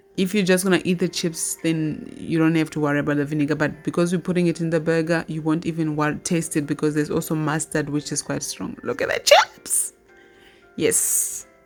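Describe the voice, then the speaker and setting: Noticeable background noise sits under speech delivered at a fairly quick pace with fairly even intonation. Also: woman, fairly low pitch for a woman. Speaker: cooking channel host. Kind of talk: cooking tutorial.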